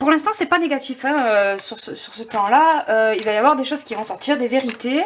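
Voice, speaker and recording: The woman's intonation is lively. Her pitch is high. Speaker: tarot card reader. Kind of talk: tarot reading. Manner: halting.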